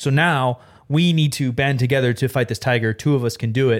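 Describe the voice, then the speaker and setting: A man in a normal speaking voice, medium in pitch, with ordinary pitch variation and a moderate pace, on a very clean recording with a silent background. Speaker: streamer. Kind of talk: casual chat.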